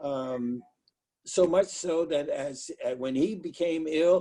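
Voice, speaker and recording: A man speaks at a high pitch with a dark, mellow tone. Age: 80s+. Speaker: pastor. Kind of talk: interview. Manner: halting.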